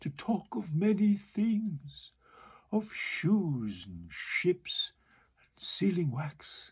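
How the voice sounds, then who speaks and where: This man puts on a character voice. He speaks at a very slow pace. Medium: read story. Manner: smooth, wheedling.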